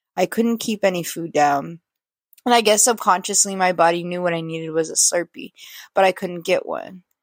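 In an ordinary speaking voice, a woman talks at a moderate pace and medium pitch with ordinary pitch variation, on a very clean recording with a silent background and a dry, close sound with no echo. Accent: American. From California. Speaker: listener contributor. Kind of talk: reading a written story aloud.

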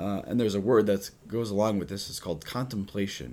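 A man speaks at a fairly low pitch with vocal fry. The recording is very clean, with a silent background. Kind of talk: religious teaching on prayer; casual chat.

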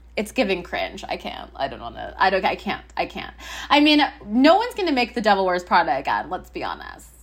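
Talking at a fairly quick pace, a woman with a fairly high voice and vocal fry swings very widely in pitch and greatly in loudness. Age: 30s. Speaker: podcast host. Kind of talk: casual chat. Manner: halting, many fillers.

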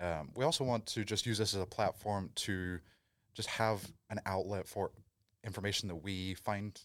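In a very clean recording with a silent background, a man speaks at a moderate pace in a very deep, low pitch with fairly even intonation. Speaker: podcast co-host, PhD candidate in kinesiology. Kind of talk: casual chat.

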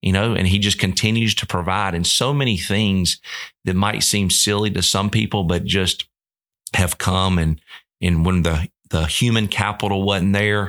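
A man speaks at a moderate pace with very even loudness and fairly even intonation, on a very clean recording with a silent background. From Georgia, US South. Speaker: college baseball coach. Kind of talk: interview.

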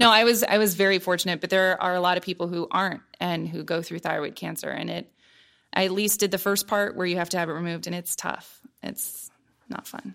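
A woman with an American accent talks at a fairly quick pace with medium pitch, vocal fry and fairly even intonation on a very clean recording with a silent background. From US Midwest, Columbus, Ohio. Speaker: meteorologist, former TV weather presenter. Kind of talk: interview conversation.

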